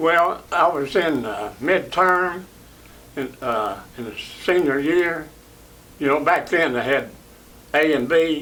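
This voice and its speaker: Very slowly, with long, frequent pauses, a man with an East Tennessee accent speaks at a fairly high pitch with ordinary pitch variation. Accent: East Tennessee Southern US. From Knoxville, Tennessee. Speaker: WWII Army veteran. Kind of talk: interview answer.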